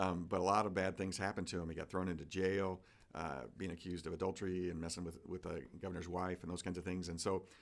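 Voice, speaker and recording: Talking very fast in a flat monotone, a man with a very deep, low voice comes through on a very clean recording with a silent background. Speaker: pastor. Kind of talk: casual chat.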